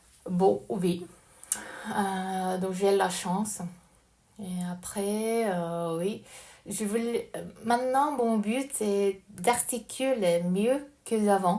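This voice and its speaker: A woman at a medium pitch and a very slow pace, with ordinary pitch variation and long, frequent pauses. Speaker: language learner. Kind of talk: casual recorded voice message monologue. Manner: halting, hesitant with many fillers.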